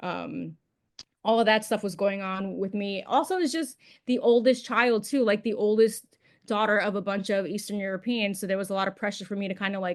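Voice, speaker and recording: Fairly quick speech with a New York accent, fairly even intonation and a quiet background. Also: woman, medium pitch for a woman. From New York City. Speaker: podcast guest. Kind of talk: casual chat.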